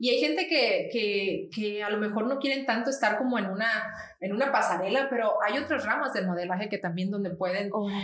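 Over noticeable background noise and audible room echo, a woman talks at a fairly quick pace, fairly high in pitch with ordinary pitch variation. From Mexico, Nayarit. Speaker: model. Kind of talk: interview.

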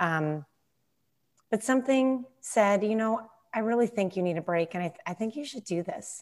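A woman's normal speaking voice, fairly high in pitch with lively intonation, over a quiet background. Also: moderate pace. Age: 30s. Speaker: former musical theater performer. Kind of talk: casual chat.

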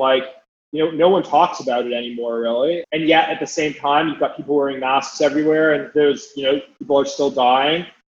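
Fairly quick delivery from a man with fairly even intonation. He has an ordinary speaking voice. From Canada, Calgary. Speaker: venture capital investor. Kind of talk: casual interview.

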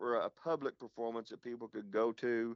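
A man with an Oklahoma accent talks at a moderate pace. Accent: Oklahoma Southern US. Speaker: pastor. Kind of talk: casual interview. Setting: phone call.

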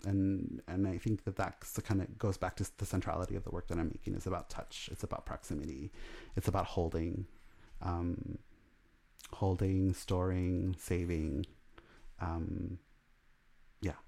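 A dark, mellow tone with an American accent, a moderate pace and long, frequent pauses, in a very clean recording with a silent background. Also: man, very deep, low pitch for a man, fairly even intonation. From Los Angeles, Salvadoran family. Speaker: artist. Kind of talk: interview, casual chat.

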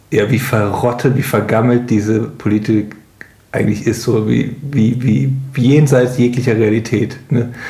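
Over noticeable background noise and audible room echo, a man talks at a moderate pace with fairly even intonation. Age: 30s. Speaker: podcast co-host. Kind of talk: casual chat.

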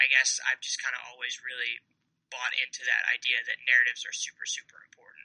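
A man with an American accent at a fairly quick pace, with big swings in loudness. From Kansas, US Midwest. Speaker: fantasy sports writer. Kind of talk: casual chat.

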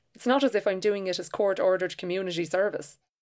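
In an Irish accent, the speaker talks at a fairly quick pace in a very clean recording with a silent background. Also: woman. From Ireland. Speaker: novelist and short story writer. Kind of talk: reading aloud own essay.

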